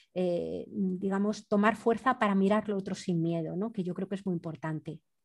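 A woman's voice at a medium pitch. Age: 50s. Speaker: anthropologist and environmental activist. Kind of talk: interview. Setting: remote call. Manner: halting.

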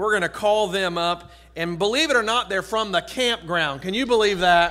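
A man's raised, projected voice with ordinary pitch variation. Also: moderate pace. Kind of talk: church announcements. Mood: friendly, joking. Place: church. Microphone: podium.

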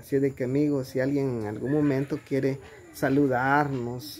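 Light background noise sits behind a man speaking. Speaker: vlogger filming. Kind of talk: casual vlog chat. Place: home room.

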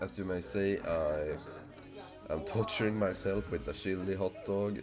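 Very deep, low male voice with music in the background. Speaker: gaming YouTuber. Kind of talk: casual talk to camera.

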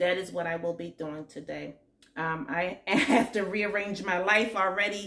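A woman uses a normal speaking voice at a fairly low pitch. She keeps a moderate pace and fairly even intonation. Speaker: nursing student vlogger. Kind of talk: casual vlog chat. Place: home room. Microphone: phone near.

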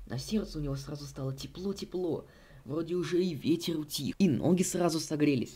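Dark and mellow, the tone shows ordinary pitch variation. The pace is fairly quick. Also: man, fairly high pitch for a man.

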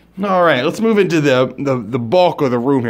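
A man talks with lively intonation. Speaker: hotel room reviewer. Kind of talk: comedic tour commentary. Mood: sarcastic mock-enthusiastic. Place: home room. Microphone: phone near.

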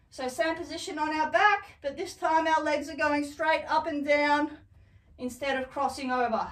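A woman's high voice at a moderate pace with ordinary pitch variation. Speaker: fitness instructor. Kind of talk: tutorial. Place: home room. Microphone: camera far.

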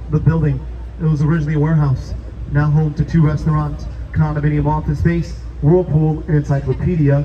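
This is a man speaking at a moderate pace. Light background noise can be heard. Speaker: boat tour guide. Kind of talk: tour guide commentary. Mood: upbeat, playful. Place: boat.

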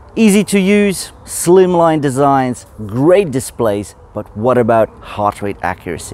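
In a dry recording with no echo, a man speaks at a fairly slow pace with very wide pitch swings. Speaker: tech reviewer. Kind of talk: product review talk. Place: forest. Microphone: phone near.

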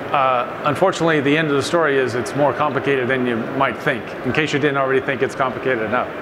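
A man talks at a very fast pace with hardly any pauses. Noticeable background noise runs underneath. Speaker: panel moderator. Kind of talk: panel discussion remarks. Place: stage.

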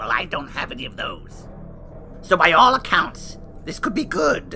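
Using a cartoonish character voice, a man speaks at a moderate pace and high pitch, with clear background noise. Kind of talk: campy horror-host banter. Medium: puppet show. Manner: gossipy, catty, theatrical.

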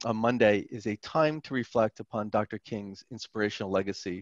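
A man's fairly low voice at a fairly quick pace, with ordinary pitch variation, dry sound free of echo, and a quiet background. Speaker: university chancellor hosting. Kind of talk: formal welcome remarks. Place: office. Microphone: headset.

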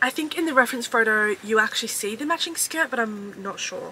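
A woman speaks in an upbeat tone with an Australian accent. Noticeable background noise runs under her voice. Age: 20s. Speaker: fashion haul creator. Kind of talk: casual talk to camera, try-on haul. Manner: upbeat, chatty. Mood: upbeat, excited. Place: home room.

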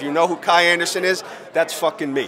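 A man speaks with ordinary pitch variation while crowd noise carries in the background. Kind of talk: interview answer. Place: hall. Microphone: handheld.

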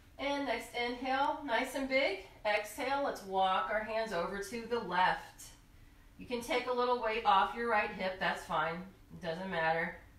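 Room echo is audible as the speaker goes at a moderate pace. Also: woman. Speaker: yoga instructor. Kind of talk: tutorial. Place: home room.

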